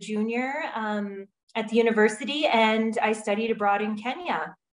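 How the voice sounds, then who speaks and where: A woman with a fairly high pitch, in a Wisconsin accent. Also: hardly any pauses. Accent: Upper Midwest US (Wisconsin). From Wisconsin, US (Viroqua). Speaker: refugee program director. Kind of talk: interview.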